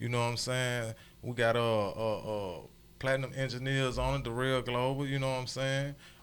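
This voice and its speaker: Audible room echo follows a man speaking at a moderate pace in monotone, flat intonation. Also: medium pitch for a man. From US South, Chattanooga, Tennessee. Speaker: record label owner. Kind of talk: radio interview.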